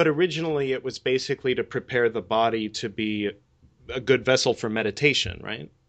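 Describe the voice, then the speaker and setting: A man at a medium pitch talks in an unremarkable speaking voice. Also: ordinary pitch variation. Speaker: podcast host and yoga teacher. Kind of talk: interview.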